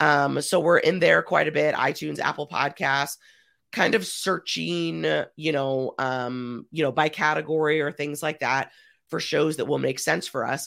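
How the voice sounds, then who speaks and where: A woman's very deep, low voice with vocal fry and lively intonation, at a moderate pace, on a very clean recording with a silent background. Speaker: publicity strategist. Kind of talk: casual interview chat.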